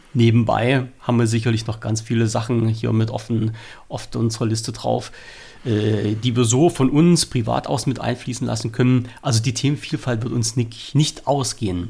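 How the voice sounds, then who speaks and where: A man talks in a dark, mellow tone at medium pitch with vocal fry. His pace is moderate and his intonation fairly even. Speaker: podcast host. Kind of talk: casual chat. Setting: remote call.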